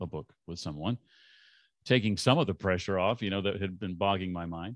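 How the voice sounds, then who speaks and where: Here a man speaks with a very deep, low pitch. The sound is dry and close, with no echo. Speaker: former radio host turned podcaster and author. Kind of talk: interview. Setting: video call.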